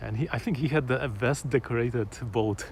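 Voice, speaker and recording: A man with a Polish accent speaks at a moderate pace and medium pitch, with ordinary pitch variation. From Poland. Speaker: vlogger. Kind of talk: casual live-stream chat. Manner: hesitant, many fillers and repetitions.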